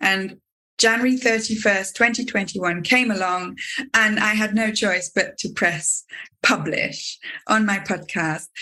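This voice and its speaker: Her voice is fairly high and bright, sharp in tone, as the woman speaks at a fairly slow pace with ordinary pitch variation. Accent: English. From UK. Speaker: podcast host and teacher. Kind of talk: interview conversation.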